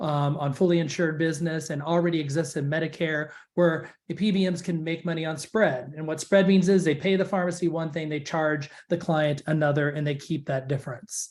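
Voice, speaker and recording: Speaking at a fairly quick pace with hardly any pauses, a man uses a fairly high pitch and fairly even intonation. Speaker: pharmacy benefits executive. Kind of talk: webinar presentation. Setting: online webinar call. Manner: fast.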